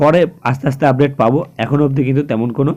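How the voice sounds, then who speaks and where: Intonation stays fairly even as a man speaks in a dark, mellow tone. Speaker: weather news YouTuber. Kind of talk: weather report. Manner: halting, with frequent self-corrections.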